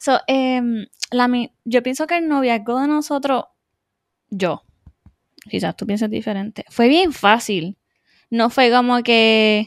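The recording is very clean with a silent background and a dry, close sound with no echo. A woman talks at a very slow pace in a high pitch with ordinary pitch variation and long, frequent pauses. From Puerto Rico (Adjuntas). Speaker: podcast co-host, aesthetician. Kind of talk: casual chat.

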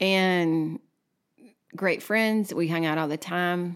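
On a very clean recording with a silent background, a woman talks at a fairly slow pace in a Texan accent. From Texas. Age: 30s. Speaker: podcast co-host. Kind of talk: casual chat.

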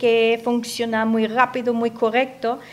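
This woman has a high-pitched voice. She speaks with a German accent. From Austria, Upper Austria (Gmunden). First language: German (speaking Spanish). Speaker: radio guest from abroad. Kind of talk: radio interview. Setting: radio studio.

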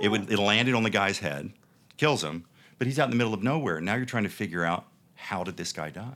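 A man with a Texas accent speaks at a fairly quick pace in a fairly low pitch, his intonation lively. The recording is very clean with a silent background. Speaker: TV producer and entrepreneur. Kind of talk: casual interview chat. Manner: animated, passionate.

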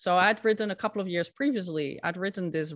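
In a Dutch accent, a woman at medium pitch talks at a fairly quick pace, with a dry, close sound with no echo and a very clean recording with a silent background. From Netherlands. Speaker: scientific integrity consultant. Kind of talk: interview.

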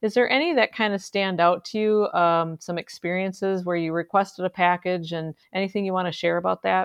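A woman with an American accent speaks in an ordinary speaking voice at a medium pitch. She moves at a fairly quick pace with hardly any pauses and fairly even intonation. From central Wisconsin. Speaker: podcast host, charity CEO. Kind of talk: interview.

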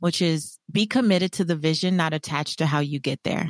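With a normal speaking voice, a woman talks at a fairly low pitch with ordinary pitch variation, the sound dry and close with no echo against a quiet background. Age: 40s. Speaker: financial coach and author. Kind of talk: casual interview chat.

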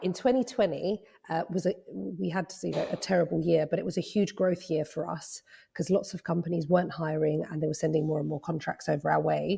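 A woman speaks at a fairly quick pace with vocal fry, a fairly low pitch, a dark, mellow tone and ordinary pitch variation over a quiet background. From Cyprus. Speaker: lawyer and legal tech founder. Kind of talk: interview.

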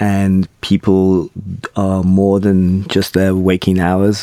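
This man's voice sits at a very deep, low pitch. The sound is dry and close, with no echo. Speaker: company chairman. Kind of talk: casual group interview. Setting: studio, remote link from London.

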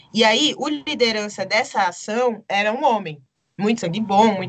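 A woman speaks at a moderate pace. Hers is a normal speaking voice, fairly high in pitch. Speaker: documentary director and photographer. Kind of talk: interview.

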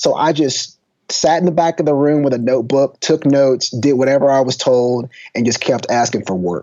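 Moderate pace with ordinary pitch variation. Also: man, fairly high pitch for a man. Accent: Texan. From East Texas. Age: 30s. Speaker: football coach turned lecturer and author. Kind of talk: casual interview.

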